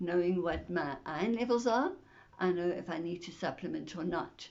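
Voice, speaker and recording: Her voice fairly low with vocal fry, a woman speaks at a moderate pace with ordinary pitch variation. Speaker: video blogger sharing illness journey. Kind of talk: personal vlog talk to camera. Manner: hesitant, with fillers.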